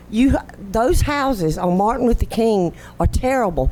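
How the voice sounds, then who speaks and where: With lively intonation, a woman speaks in a Southern US accent. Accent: Southern US (Georgia). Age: 60s. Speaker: resident speaking at public comment. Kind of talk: public comment at council meeting. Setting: city council chamber. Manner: animated.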